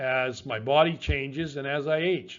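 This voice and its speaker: A man's fairly high voice with a Canadian accent, fairly even intonation, and a normal speaking voice. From Western Canada. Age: 60s. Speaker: fitness coach. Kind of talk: personal testimony to camera.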